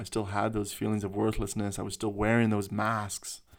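In a very clean recording with a silent background, a man with a Canadian accent speaks at a fairly low pitch in a monotone, flat intonation. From Canada. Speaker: spiritual podcast host. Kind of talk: personal monologue. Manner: unscripted, reflective.

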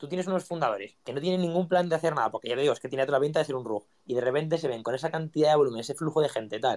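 A man with a Spanish accent and a fairly high pitch talks very fast with hardly any pauses and ordinary pitch variation. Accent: Peninsular Spanish. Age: 20s. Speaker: content creator and NFT collection founder. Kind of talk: casual interview chat.

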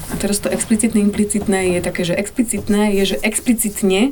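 There is noticeable background noise as a woman speaks. Her pace is fairly quick and her intonation fairly even. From eastern Slovakia (Šariš/Spiš border, grew up in Pusté Pole). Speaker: director of an education project. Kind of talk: interview conversation.

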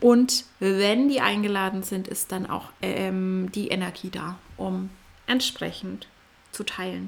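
Very slow, medium-pitched female speech with fairly even intonation. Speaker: podcast host and coach. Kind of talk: solo podcast monologue. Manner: occasional stumbling.

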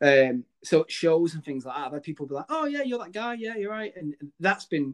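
Recorded with a dry, close sound and no echo, a man with a northern English accent talks at a fairly quick pace, his fairly high pitch carrying lively intonation. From northern England. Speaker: podcast host. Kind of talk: casual interview chat.

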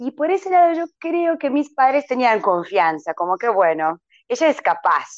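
Speaking with a Croatian accent at a moderate pace, a woman lets her pitch swing very widely. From Croatia, Vinkovci. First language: Croatian (speaking Spanish). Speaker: English teacher. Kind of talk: interview. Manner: halting, many fillers.

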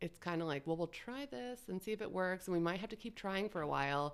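Intonation is lively as an unremarkable speaking voice talks at a fairly quick clip. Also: woman. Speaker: dietitian and food journalist. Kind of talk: casual interview.

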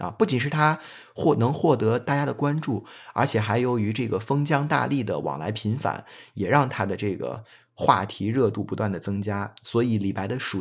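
A man talks in a plain, everyday voice. He keeps a moderate pace with ordinary pitch variation. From China, Xi'an (Shaanxi). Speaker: Chinese literature teacher. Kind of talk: lecture. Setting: online voice chat room.

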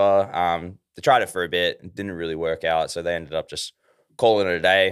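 Fairly even intonation and a moderate pace carry this speech in an Australian accent. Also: man. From Australia, Ballarat, Victoria. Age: 20s. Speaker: metal band vocalist. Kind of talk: casual chat.

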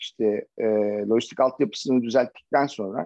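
His pitch is medium and his speed moderate. The man's intonation remains fairly even. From Turkey, Çanakkale. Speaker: logistics manager. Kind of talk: interview. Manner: halting, many fillers.

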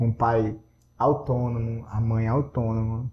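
The voice is somewhat breathy with a dark, mellow tone and moves at a very slow pace. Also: man. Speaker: language school owner. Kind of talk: casual interview.

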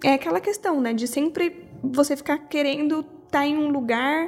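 Speaking at a fairly quick pace, the woman has a high voice with ordinary pitch variation. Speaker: podcast host. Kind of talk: reflective monologue.

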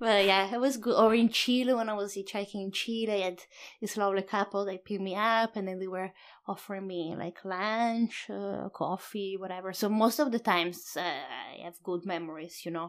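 This very clean recording has a silent background, and the speaker's pitch varies in an ordinary way. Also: woman, medium pitch for a woman, moderate pace. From Italy. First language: Italian. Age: 30s. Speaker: solo traveler and photographer. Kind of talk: interview. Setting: in a home.

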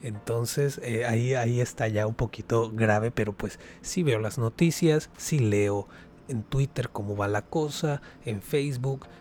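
At a fairly slow pace, a somewhat breathy man speaks at a medium pitch with ordinary pitch variation. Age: 20s. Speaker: podcast host. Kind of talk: casual solo commentary.

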